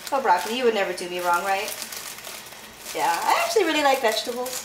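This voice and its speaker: A woman talks very fast with very wide pitch swings, amid noticeable background noise and audible room echo. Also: fairly high pitch for a woman. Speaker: vlogger. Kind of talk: casual vlog while cooking.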